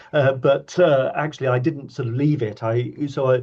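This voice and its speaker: Over a quiet background, a man with a British accent talks at a fairly quick pace, his pitch varying in an ordinary way. His tone is dark, mellow and somewhat breathy. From Kenya (Mombasa). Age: 60s. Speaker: obstetrician and professor. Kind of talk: podcast interview. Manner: halting, many fillers and repetitions.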